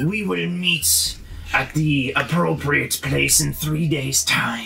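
A put-on character voice at a very slow pace and very even loudness, with clear background noise. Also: man. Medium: actual play. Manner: menacing, interrogating.

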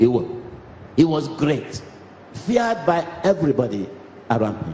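The pitch swings very widely. There is light background noise and audible room echo. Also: man. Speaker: cleric preaching. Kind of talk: sermon. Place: church. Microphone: handheld.

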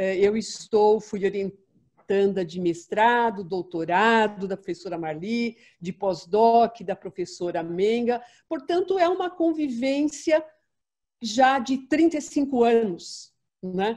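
A woman at a very slow pace, with very wide pitch swings, over a quiet background. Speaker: panelist. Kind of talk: panel talk, personal testimony. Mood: warm, reminiscing. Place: home room. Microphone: video call.

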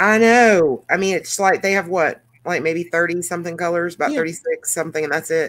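A woman speaks with a Southern US accent. Her pitch sits fairly low. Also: ordinary pitch variation, moderate pace. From US South. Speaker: YouTube coloring channel host. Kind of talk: casual chat. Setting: video call. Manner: animated.

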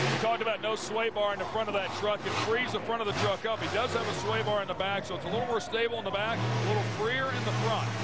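Over clear background music, the speech runs very fast with hardly any pauses and ordinary pitch variation in a dry sound with no echo. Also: man, high pitch for a man. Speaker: color commentator. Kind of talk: live TV sports color commentary; sports commentary. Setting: broadcast booth in a stadium. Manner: explanatory, technical. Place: stadium. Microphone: headset.

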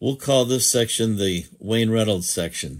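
Ordinary pitch variation shapes a man's speech, with the background quiet. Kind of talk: fervent prayer, spoken to God. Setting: online video, evening. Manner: earnest, reverent, heartfelt, slow and pausing; warm, pastoral, hesitant with filler words. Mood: earnest, compassionate. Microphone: phone near.

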